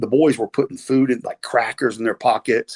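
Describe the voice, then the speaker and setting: Speaking at a fairly quick pace, a man talks at medium pitch with a Southern US accent. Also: dry, close sound with no echo. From US South. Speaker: retired pro wrestler. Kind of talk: podcast interview storytelling. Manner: casual, halting.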